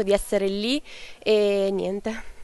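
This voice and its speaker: Monotone, flat intonation in a dark, mellow tone, with a dry sound and no echo. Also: woman. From southern Italy, Cilento area of Campania; Campania, Italy. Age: young (19). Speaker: junior weightlifter. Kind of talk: interview. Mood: grateful, emotional. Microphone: handheld.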